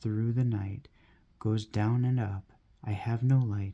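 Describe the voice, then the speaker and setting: A soft-spoken man talks very slowly in a dark, mellow tone. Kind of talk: poetry reading.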